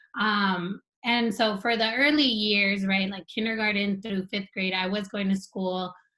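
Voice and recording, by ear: Speaking with an American accent, a woman at a medium pitch uses a bright, sharp tone and fairly even intonation at a fairly slow pace.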